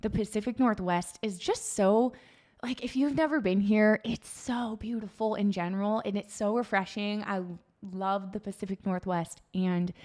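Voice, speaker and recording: A medium-pitched woman with a West Coast accent, moderate pace and ordinary pitch variation. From Oregon, Salem. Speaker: real estate agent. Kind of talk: casual chat.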